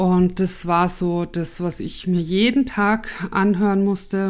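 A woman's very slow speech with monotone, flat intonation. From Austria, Tyrol. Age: 40s. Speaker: podcast host and coach. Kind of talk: solo podcast, personal story.

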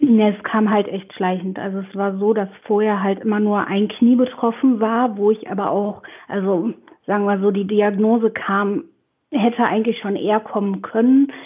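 A woman speaks in an unremarkable speaking voice at medium pitch and moderate pace, with fairly even intonation. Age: 20s. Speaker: pediatric nurse. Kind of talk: casual interview.

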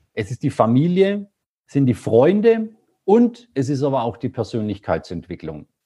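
A man talks at a medium pitch in a somewhat breathy voice, with very wide pitch swings. The sound is dry and close, with no echo. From rural Germany. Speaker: entrepreneur. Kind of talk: interview.

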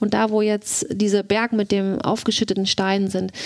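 Here a woman speaks at a medium pitch. She goes at a fairly slow pace. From Mecklenburg, northeastern Germany. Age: 40s. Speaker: wife of accused murderer. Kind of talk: interview testimony. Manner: hesitant.

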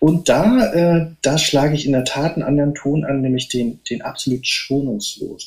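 He has a plain, everyday voice with a fairly high pitch. The man talks at a moderate pace with ordinary pitch variation. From northeastern Germany. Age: 50s. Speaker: novelist and poet. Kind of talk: casual interview. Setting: remote call.

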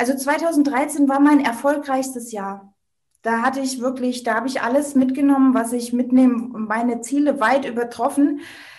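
A woman with a high voice talks in a fairly even tone, with audible echo from the room. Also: moderate pace. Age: 30s. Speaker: network marketer and women's coach. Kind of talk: interview.

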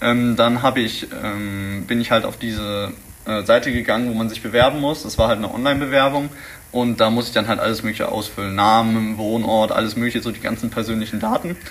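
Fairly quick speech from a man at medium pitch, fairly even intonation, noticeable background noise. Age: young. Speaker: vocational school student. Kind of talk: interview. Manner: halting, many filler sounds.

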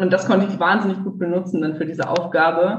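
A woman's somewhat breathy, fairly low voice at a fairly quick pace, with ordinary pitch variation and audible room echo. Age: 20s. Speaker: civil engineer turned coach. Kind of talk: interview.

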